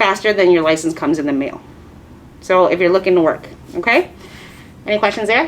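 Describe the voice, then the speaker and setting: There is noticeable noise in the background. Over it, a woman talks. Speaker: nail technician instructor. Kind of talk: lecture. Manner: fast.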